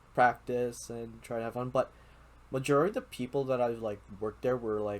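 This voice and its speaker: At a moderate pace, a man with a Filipino accent speaks at a medium pitch with fairly even intonation. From Philippines. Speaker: podcast host. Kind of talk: casual chat.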